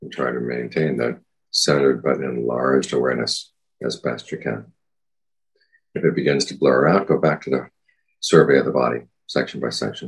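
Here a man speaks in a very deep, low pitch with vocal fry. His intonation stays fairly even at a moderate pace. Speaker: Buddhist monk and meditation teacher. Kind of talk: dharma talk with guided meditation and Q&A. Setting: video call. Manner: calm, measured.

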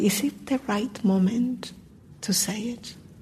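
The voice moves at a very slow pace, somewhat breathy, with fairly even intonation. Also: woman. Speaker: meditation teacher. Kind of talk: dharma talk. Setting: meditation hall with audience, microphone.

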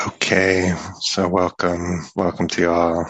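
Very slowly and in a calm tone, a man speaks with a very deep, low voice and monotone, flat intonation. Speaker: meditation teacher. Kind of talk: lightly guided meditation with a short talk, gentle and spacious. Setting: meditation hall, recorded talk. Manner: slow, calm, soft-spoken with long silences.

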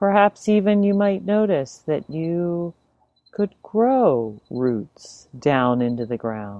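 A woman talks at a very slow pace in a calm tone. Her fairly low voice moves in very wide pitch swings. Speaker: meditation teacher. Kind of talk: guided meditation. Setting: online talk or video. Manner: slow, soft-spoken, calm and unhurried, with long pauses.

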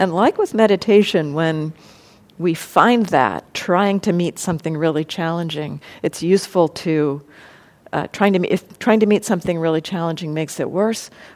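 In a normal speaking voice, a woman with an American accent speaks at a moderate pace, with a fairly low pitch and ordinary pitch variation. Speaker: meditation teacher. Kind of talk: dharma talk then group discussion. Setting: live room with audience. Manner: reflective, measured.

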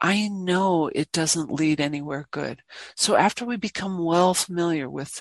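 A normal speaking voice from a woman, fairly low in pitch, with ordinary pitch variation at a fairly slow pace. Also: dry, close sound with no echo. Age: 60s. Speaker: meditation teacher. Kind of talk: dharma talk. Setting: meditation hall with online audience.

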